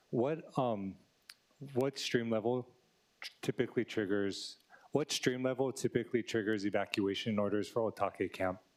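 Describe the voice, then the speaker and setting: A soft-spoken man is talking. His pace is moderate. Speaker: city council member. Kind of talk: committee questioning. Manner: soft-spoken, low.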